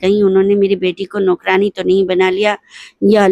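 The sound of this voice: The speaker uses an unforced reading voice. That is how it comes across.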